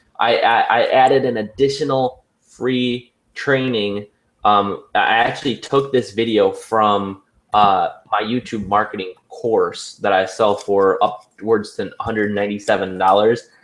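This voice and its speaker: A man speaks in an unremarkable speaking voice at medium pitch. His intonation is fairly even and his pace fairly slow. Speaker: online marketer hosting a team webinar. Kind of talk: sales pitch. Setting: video call. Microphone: headphones on to avoid echo.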